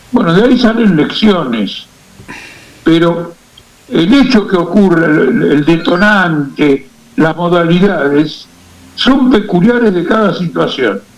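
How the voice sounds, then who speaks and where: At a very slow pace with long, frequent pauses, a man talks in a high pitch with lively intonation and very even loudness over noticeable background noise. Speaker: political activist and analyst. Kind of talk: radio interview.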